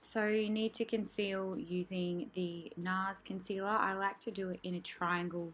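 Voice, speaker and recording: At a fairly slow pace, a soft-spoken woman talks. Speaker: makeup artist. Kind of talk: tutorial.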